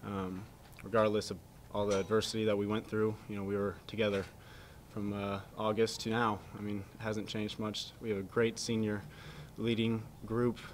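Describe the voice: A man speaks at a moderate pace with a fairly low pitch. His pitch moves very little.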